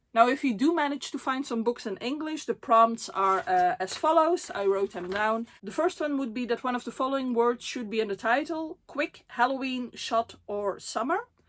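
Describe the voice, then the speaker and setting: A woman with a Dutch accent speaks at a moderate pace with hardly any pauses. Her pitch is high and her intonation lively. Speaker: book vlogger. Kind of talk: casual vlog talk. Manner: frequent fillers, hesitant.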